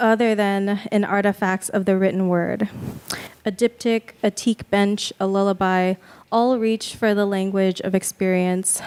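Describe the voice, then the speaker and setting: At a fairly slow pace, a woman speaks at a medium pitch with monotone, flat intonation. Her loudness is very even, and the sound is dry and close with no echo. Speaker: MFA fiction writer. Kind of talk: reading aloud. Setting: stage with audience. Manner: mumbling.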